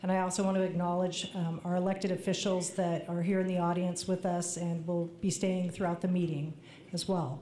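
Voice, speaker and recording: A woman's fairly low, monotone voice with flat intonation, very even loudness and a fairly quick pace, with audible room echo. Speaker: water agency official. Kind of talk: public meeting remarks.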